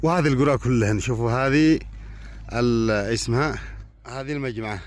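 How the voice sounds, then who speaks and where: With audible room echo, a man talks at a fairly slow pace and a medium pitch, his pitch varying in an ordinary way. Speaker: poet and video blogger. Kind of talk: casual vlog commentary. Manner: animated.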